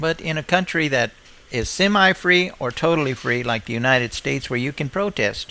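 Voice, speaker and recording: A man with a plain, everyday voice and a fairly high pitch talks at a fairly quick pace with lively intonation. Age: 60s. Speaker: live streamer. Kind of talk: opinion monologue on live stream.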